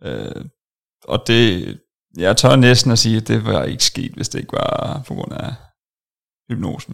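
Speaking at a very slow pace, a man leaves long, frequent pauses. His loudness swings widely. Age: 20s. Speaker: software developer, former weight-loss client. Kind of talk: interview testimony. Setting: studio.

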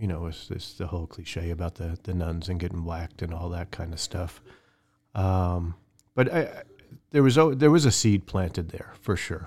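In a very clean recording with a silent background, a somewhat breathy man with an American accent speaks at a moderate pace in a very deep, low pitch, with ordinary pitch variation and big swings in loudness. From New York, near the Bronx. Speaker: church elder candidate. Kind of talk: interview testimony.

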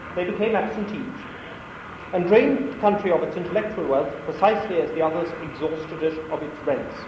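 Over noticeable background noise, a man speaks fairly quickly at a high pitch, with ordinary pitch variation. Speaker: academic researcher. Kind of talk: lecture. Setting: lecture hall with audience.

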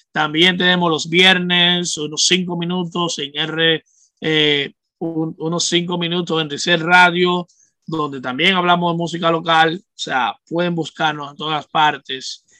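A man with a Dominican accent speaks fairly slowly at a high pitch, his intonation monotone and flat while his loudness swings widely. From Dominican Republic, Santo Domingo. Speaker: music journalist and radio host. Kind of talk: casual chat.

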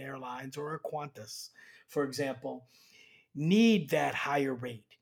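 This man's somewhat breathy voice has lively intonation. He talks at a moderate pace. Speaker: airline executive and economics professor.

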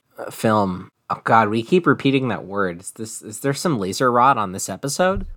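An unremarkable speaking voice at a moderate pace, with lively intonation, big swings in loudness and hardly any pauses. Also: man, medium pitch for a man. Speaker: podcast co-host. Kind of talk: casual chat.

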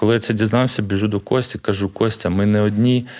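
This man has a plain, everyday voice, fairly low in pitch, with fairly even intonation. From Ukraine, Kharkiv (Saltivka). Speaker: parkour coach and gym co-founder. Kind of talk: interview.

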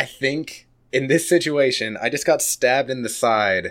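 A man speaks in a normal speaking voice, pitched fairly high. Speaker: podcaster and game player. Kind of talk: tabletop role-playing game actual play.

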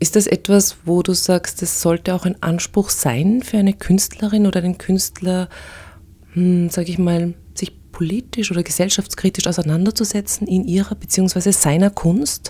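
A woman speaks at a medium pitch and a moderate pace, her intonation fairly even. Her tone is dark and mellow, and somewhat breathy. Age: 40s. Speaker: podcast host. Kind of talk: interview.

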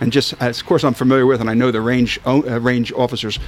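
The speaker talks at a very fast pace with a Philadelphia accent. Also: man. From Philadelphia, South Philly. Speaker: sporting clays shooter. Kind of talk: casual chat.

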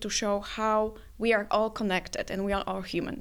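A woman with a Polish accent speaks at a moderate pace and a medium pitch. Her intonation is fairly even, and the recording is very clean with a silent background. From Poland. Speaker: composer. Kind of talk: interview. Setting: studio.

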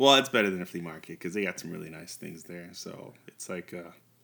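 A man with an American accent has a very deep, low pitch and a bright, sharp tone. He speaks at a fairly quick pace with lively intonation. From US, New York. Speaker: language podcast host. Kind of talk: language lesson.

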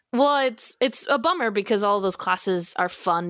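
A woman with an American accent speaks in an unremarkable speaking voice, her fairly high pitch carried by lively intonation at a moderate pace. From Texas. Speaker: theater student. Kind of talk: casual interview.

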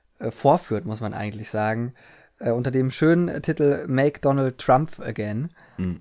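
This is an ordinary speaking voice. The pace is fairly slow. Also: man. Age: 20s. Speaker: podcast co-host. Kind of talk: casual chat.

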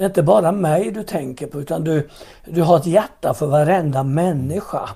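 A man speaks at a moderate pace with a dark, mellow tone, a fairly high pitch and ordinary pitch variation. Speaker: pastor. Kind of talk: interview about faith and testimony.

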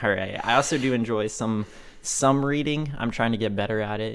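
The room echo is audible as a man delivers his words at a moderate pace. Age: 20s. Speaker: podcast co-host and college student. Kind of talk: casual chat.

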